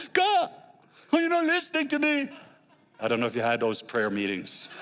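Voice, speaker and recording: With a slight Norwegian accent, a man speaks at a fairly quick pace. His tone is animated. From Norway. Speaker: guest preacher. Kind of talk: sermon.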